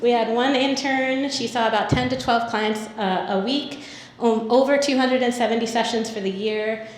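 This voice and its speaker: A woman's fairly high voice with fairly even intonation, audible room echo and noticeable background noise. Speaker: nonprofit program presenter. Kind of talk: conference presentation. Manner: fast.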